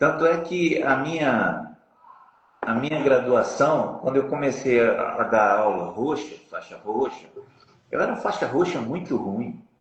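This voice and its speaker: A man's fairly high-pitched voice with lively intonation and audible room echo. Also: fairly slow pace. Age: 60s. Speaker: jiu-jitsu master. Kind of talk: interview.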